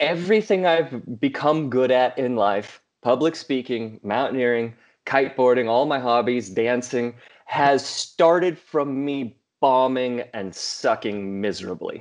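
A man's fairly slow speech at a medium pitch with ordinary pitch variation, over a quiet background. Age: 30s. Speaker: motivational speaker and mountaineer. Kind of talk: podcast interview.

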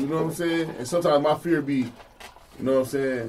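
Noticeable background noise surrounds a man who speaks at a very fast pace in a fairly high pitch with ordinary pitch variation. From Jacksonville, Florida. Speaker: podcast host. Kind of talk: casual chat. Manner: animated.

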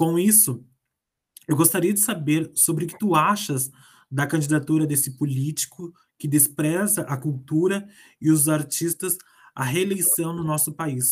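A man speaks at a fairly slow pace in a fairly high voice. It is an unremarkable speaking voice with ordinary pitch variation. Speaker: radio host. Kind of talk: radio interview.

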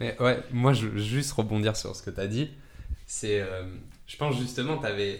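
A man talks at a medium pitch and a moderate pace, with ordinary pitch variation and long, frequent pauses. His loudness swings widely, and the room echo is audible. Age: 20s. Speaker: podcast host, table tennis player. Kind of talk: interview.

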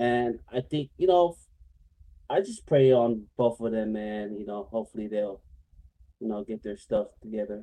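A man speaks with an American accent in a dark, mellow tone. He leaves long, frequent pauses. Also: medium pitch for a man, ordinary pitch variation, moderate pace. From Northern California, Samoan family. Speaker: gaming streamer. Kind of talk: casual chat.

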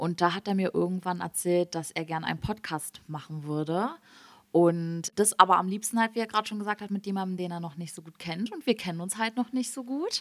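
A woman speaks in a normal speaking voice at a fairly quick pace, her medium pitch moving with ordinary variation and her loudness swinging widely, all in a dry, close sound with no echo. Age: 20s. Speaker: podcast co-host. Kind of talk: casual chat.

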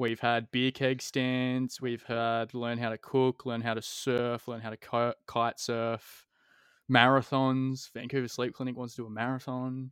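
A man speaks with an Australian accent in a flat monotone. The sound is dry and close, with no echo. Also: medium pitch for a man, fairly slow pace, very clean recording, silent background. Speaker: podcast host. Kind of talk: casual interview chat.

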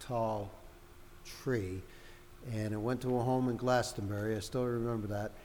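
A man with an American accent talks, his voice carrying audible room echo. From Connecticut, Hartford. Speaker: Christmas tree lot owner. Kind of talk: casual chat. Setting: in a brewery and coffee shop.

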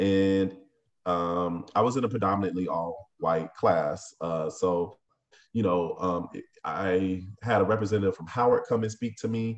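A man with an ordinary speaking voice talks at a fairly slow pace, his pitch fairly low and his intonation fairly even. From Tampa, Florida. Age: 30s. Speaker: restaurant owner. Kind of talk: interview.

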